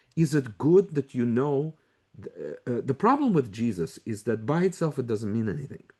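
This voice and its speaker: A man speaks at a medium pitch with a dark, mellow tone. His intonation is lively and his pace moderate. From former Soviet Union. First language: Russian. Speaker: Bible scholar and teacher. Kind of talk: conference lecture. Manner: animated, conversational with many hesitations.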